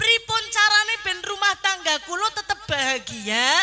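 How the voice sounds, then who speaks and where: In a Banyumasan accent, a woman raises and projects her voice, her bright, sharp tone carrying lively intonation. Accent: Banyumasan Javanese (Ngapak). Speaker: Islamic preacher. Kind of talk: humorous religious sermon to a live audience. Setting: live event with audience. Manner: lively, humorous.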